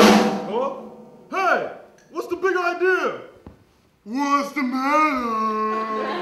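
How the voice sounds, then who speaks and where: A man's put-on character voice at a very slow pace, full of long, frequent pauses, with slight echo and faint music in the background. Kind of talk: comic overacting. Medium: stage play.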